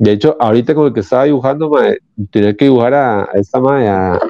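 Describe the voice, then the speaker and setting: A man speaks at a medium pitch in a dark, mellow tone, with ordinary pitch variation. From Costa Rica, San Rafael. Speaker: comic book artist. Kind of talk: interview. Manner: halting, repeats words.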